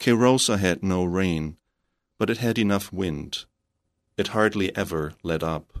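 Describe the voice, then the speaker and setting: A man with a German accent, very deep and low in pitch, with ordinary pitch variation, a fairly slow pace, long and frequent pauses, and a quiet background. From northern Germany. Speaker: novelist and creative writing professor. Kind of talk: radio interview. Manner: halting, with repeated words.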